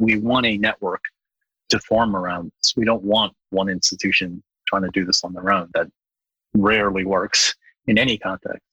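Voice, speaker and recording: A man speaks at a moderate pace in a fairly low, bright and sharp voice with flat, monotone intonation, long and frequent pauses, and a dry, close sound with no echo. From Bangladesh. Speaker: university open source program lead. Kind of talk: podcast interview.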